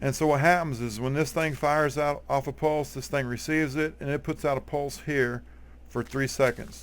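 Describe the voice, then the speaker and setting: A man speaks at a moderate pace with a strong Texas accent. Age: 40s. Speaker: gaming YouTuber. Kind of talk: tutorial. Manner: casual, halting with fillers.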